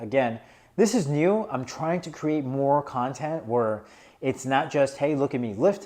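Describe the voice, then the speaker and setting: A man with a fairly high pitch and a dark, mellow tone, lively intonation, and a fairly slow pace. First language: not English. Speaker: fitness vlogger, powerlifter. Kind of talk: casual vlog commentary. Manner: casual, filler-heavy.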